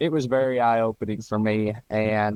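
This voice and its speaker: In an Appalachian accent, a man talks at a moderate pace. The audio is dry and close, with no echo. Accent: Appalachian Southern US. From US South, East Tennessee. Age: 20s. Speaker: power lineman and Bigfoot researcher. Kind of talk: interview. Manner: casual, with many fillers.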